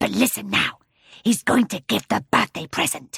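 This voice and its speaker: A woman does a put-on character voice, gruff and growling, at a medium pitch. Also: moderate pace. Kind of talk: children's audiobook character voice. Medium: read story. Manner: soft-spoken, deferential.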